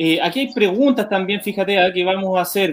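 Here a man speaks with a high voice. His pitch varies in an ordinary way. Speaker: town councillor and show co-host. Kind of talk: casual interview show. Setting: at home in his kitchen, online stream.

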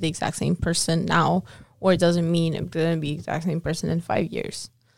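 She speaks at a fairly quick pace. The woman's pitch is fairly low. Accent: slight non-native. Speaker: podcast co-host. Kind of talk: casual chat.

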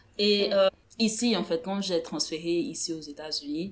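A woman has an ordinary speaking voice. It sits at a medium pitch with ordinary pitch variation. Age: 20s. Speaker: podcast co-host. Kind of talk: casual chat.

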